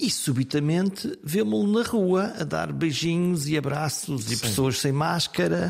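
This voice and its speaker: In a very clean recording with a silent background, a man with a fairly high, somewhat breathy voice talks at a fairly slow pace with hardly any pauses, very wide pitch swings and very even loudness. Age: 50s. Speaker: podcast host, retired journalist. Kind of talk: scripted narration; interview.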